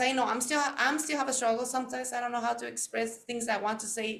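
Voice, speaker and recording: In a Spanish accent, a woman speaks in a high pitch with a bright, sharp tone, and audible room echo surrounds her voice. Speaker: podcast host. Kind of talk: interview chat.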